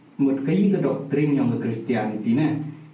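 This man's pitch is fairly high, with ordinary pitch variation and a fairly slow pace. Audible room echo and noticeable background noise fill the recording. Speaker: rapper. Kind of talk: casual chat. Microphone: camera audio, poor sound quality.

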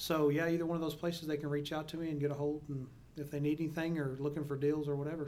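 A man with a Texan accent talks very fast in a fairly high, monotone, flat voice. Room echo is audible and background noise is noticeable. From Texas, small town near Mineral Wells. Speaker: oilfield service entrepreneur and podcast host. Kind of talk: casual interview. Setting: in-person studio recording.

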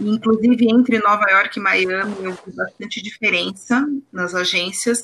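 A woman speaks in a plain, everyday voice. Her pace is fairly slow and her intonation fairly even. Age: 30s. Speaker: copywriter. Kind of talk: casual chat.

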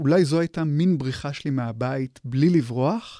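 On a very clean recording with a silent background and a dry, close sound with no echo, a man with a fairly high pitch and a dark, mellow tone speaks at a fairly slow pace with lively intonation. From Israel, Hadera. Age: 40s. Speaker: literature professor. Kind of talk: interview. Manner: halting.

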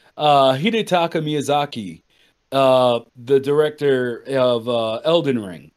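Speaking at a very slow pace, a man uses lively intonation and big swings in loudness. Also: medium pitch for a man. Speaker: podcast co-host. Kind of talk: casual chat.

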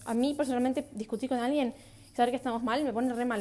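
A woman speaks very fast at a high pitch in a dark, mellow tone with monotone, flat intonation. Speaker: podcaster. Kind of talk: casual monologue. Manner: halting.

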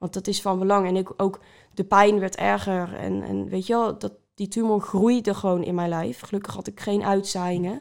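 The woman uses an ordinary speaking voice pitched in the medium range. She keeps a moderate pace, and her intonation stays fairly even. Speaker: cancer survivor, social media creator. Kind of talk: testimony. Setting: at a kitchen table.

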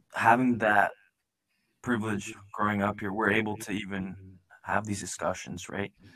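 The delivery moves at a moderate pace with long, frequent pauses. Intonation stays monotone and flat. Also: man, fairly low pitch for a man. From Nepal, raised in Edmonton, Canada from about age 12. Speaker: podcast host. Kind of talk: casual interview chat; podcast outro.

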